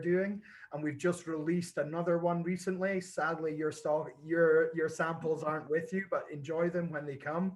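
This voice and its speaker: In a slight Scottish accent, a man with a high pitch talks at a moderate pace with monotone, flat intonation and hardly any pauses. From Scotland. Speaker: whisky brand ambassador. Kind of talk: casual chat.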